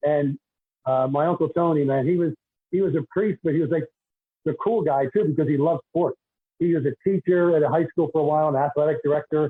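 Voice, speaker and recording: Very fast and at very even loudness, a man talks with fairly even intonation in a Philadelphia accent. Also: fairly high pitch for a man. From Philadelphia, US. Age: 60s. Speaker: retired basketball referee and deacon. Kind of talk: podcast interview.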